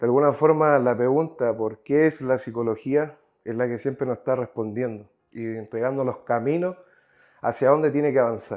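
A man's intonation stays fairly even as he speaks at a moderate pace in quiet surroundings. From Chile. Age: 20s. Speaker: psychology graduate; podcast guest. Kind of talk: casual chat. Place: home room. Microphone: lapel.

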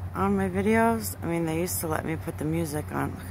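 A woman with an American accent at a moderate pace, fairly even intonation and noticeable background noise. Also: dry sound with no echo. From South Florida, US. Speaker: amateur sky-watching video creator. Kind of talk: casual vlog narration. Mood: awed, pleading. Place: garden. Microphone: phone near.

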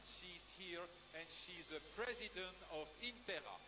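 A man talks with a high pitch and ordinary pitch variation. Noticeable background noise sits behind him. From Belgium. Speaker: dog show ring announcer. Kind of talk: live commentary. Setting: PA system at dog show arena. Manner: formal.

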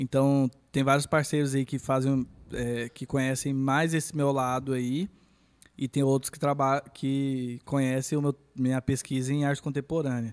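A man speaks in a flat monotone at a moderate pace. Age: 20s. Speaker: visual artist; podcast guest. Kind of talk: casual chat. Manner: halting. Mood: relaxed, friendly. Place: studio. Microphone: studio mic.

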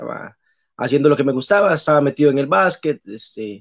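A man talks at a moderate pace in a fairly high voice, an unremarkable speaking voice. The background is quiet. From Costa Rica, Pérez Zeledón; Costa Rica. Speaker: basketball referee; guest. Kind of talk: casual interview. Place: home room. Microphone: video call.

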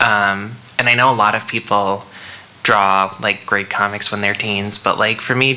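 With an American accent, a man speaks at a moderate pace in a fairly low voice and fairly even intonation. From Michigan, US. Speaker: cartoonist. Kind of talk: panel discussion. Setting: stage with audience. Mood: reflective, relaxed. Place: hall. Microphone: podium.

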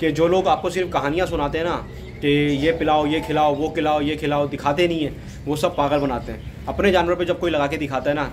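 Against music in the background, a man talks at a moderate pace with monotone, flat intonation. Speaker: goat farmer vlogger. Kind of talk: casual vlog chat. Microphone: phone near.

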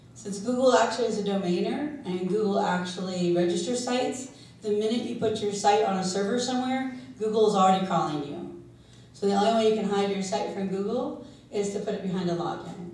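A woman speaks with ordinary pitch variation. Room echo is audible around her voice. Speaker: SEO consultant and conference speaker. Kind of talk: conference talk. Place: hall.

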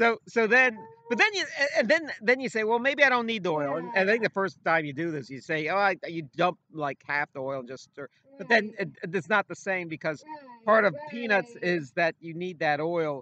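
A man with a high pitch uses a raised, projected voice with very wide pitch swings and big swings in loudness. The sound is dry with no echo, and there is light background noise. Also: moderate pace. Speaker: former radio and sports announcer, show co-host. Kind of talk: casual chat. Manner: halting, repeats words often. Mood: playful, animated storytelling. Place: garden. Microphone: webcam.

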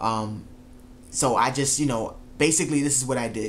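A man at a moderate pace, fairly even in intonation, over light background noise. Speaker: track coach vlogger. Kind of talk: casual vlog storytelling. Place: home room. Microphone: camera far.

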